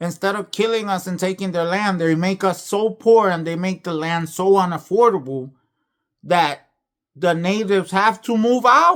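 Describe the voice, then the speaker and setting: The recording is very clean, with a silent background. The speaker keeps a moderate pace and ordinary pitch variation. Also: man, high pitch for a man. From Puerto Rico. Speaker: YouTuber. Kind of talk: video commentary.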